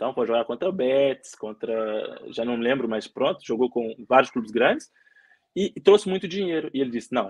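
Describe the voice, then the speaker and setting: Lively intonation marks this man's speech. He talks at medium pitch and a fairly quick pace. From Belo Horizonte, Brazil. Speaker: footballer. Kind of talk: interview. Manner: halting.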